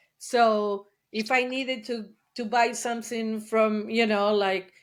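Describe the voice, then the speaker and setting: In an Argentine accent, the speaker talks fairly slowly with flat, monotone intonation on a very clean recording with a silent background. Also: woman, fairly high pitch for a woman. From Argentina. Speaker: trauma therapist. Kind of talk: interview testimony. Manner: hesitant, many fillers.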